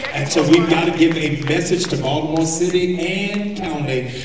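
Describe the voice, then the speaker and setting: A man's high voice at a fairly slow pace, with fairly even intonation, audible room echo and noticeable background noise. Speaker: pastor or community leader. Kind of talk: impassioned public address. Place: church. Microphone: camera far.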